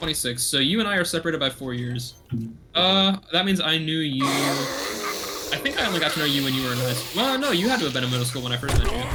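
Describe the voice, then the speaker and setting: A man with a fairly high pitch at a very fast pace, lively intonation, music in the background and audible room echo. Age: 20s. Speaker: streamer. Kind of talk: casual chat. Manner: halting.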